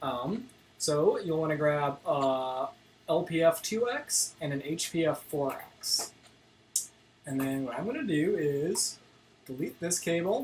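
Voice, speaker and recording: The speech goes at a fairly slow pace with long, frequent pauses. Light background noise sits behind it. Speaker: video synthesis teacher. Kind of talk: live-stream tutorial. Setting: live stream. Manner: casual; halting, many fillers. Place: home room.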